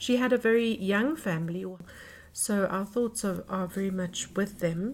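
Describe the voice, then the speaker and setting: The voice is somewhat breathy. It moves at a moderate pace with ordinary pitch variation. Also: woman. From South Africa. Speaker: podcast host. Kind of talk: podcast intro and interview. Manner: hesitant, filler-heavy.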